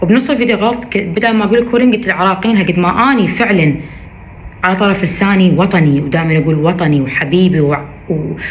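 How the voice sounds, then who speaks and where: A woman with an Iraqi accent speaks at a medium pitch and a moderate pace, her intonation lively and her loudness very even, with audible room echo and noticeable background noise. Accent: Iraqi Arabic, kept. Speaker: social media influencer. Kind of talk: video statement responding to criticism. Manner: emphatic, repetitive.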